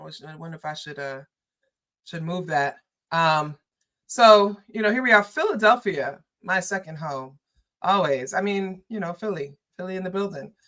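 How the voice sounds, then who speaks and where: A woman with a New York accent speaks at a medium pitch and a moderate pace, using lively intonation. Her loudness swings widely, and she takes long, frequent pauses. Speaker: political commentator and livestreamer. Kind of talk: livestream chat. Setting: livestream. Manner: casual, conversational.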